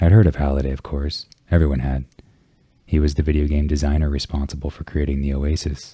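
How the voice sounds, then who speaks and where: Very fast and monotone, a man speaks with flat intonation in a very deep, low voice. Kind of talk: ASMR book reading.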